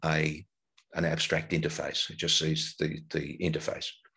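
Lively intonation carries this man's speech. Behind him, all is quiet. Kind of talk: lecture.

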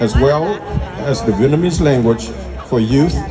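A man is speaking. Crowd noise fills the background. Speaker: speaker. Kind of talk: formal speech. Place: tent. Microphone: pa.

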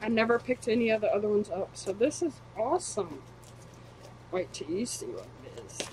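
A woman's moderate-paced speech against light background noise. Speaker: collector vlogger. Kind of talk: casual vlog chat. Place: home room. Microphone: webcam.

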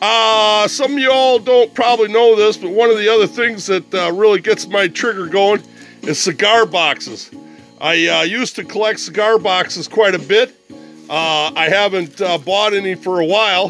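Faint music plays in the background. The voice shows ordinary pitch variation. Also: man, dry sound with no echo. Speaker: unboxing vlogger. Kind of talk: casual vlog chat. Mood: cheerful, amused. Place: home room. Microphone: phone near.

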